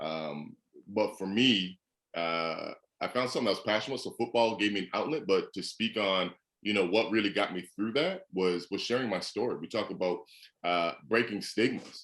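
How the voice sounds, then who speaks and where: At a moderate pace and fairly low pitch, a man talks with ordinary pitch variation over a quiet background. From Canada, Edmonton. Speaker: former football player and motivational speaker. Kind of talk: podcast interview.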